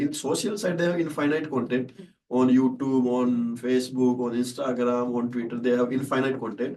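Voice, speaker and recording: Speaking with a Rajasthani accent, a man talks at a fairly quick pace at medium pitch with ordinary pitch variation. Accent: Indian (Rajasthani) English. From Rajasthan, India. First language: Shekhawati (Rajasthani dialect). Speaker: startup founder and CEO. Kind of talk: podcast interview answer.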